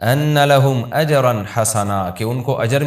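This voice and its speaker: A man's fairly high-pitched, normal speaking voice with ordinary pitch variation, described as a normal speaking voice. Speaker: Islamic scholar, cleric. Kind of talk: religious sermon, Quran commentary.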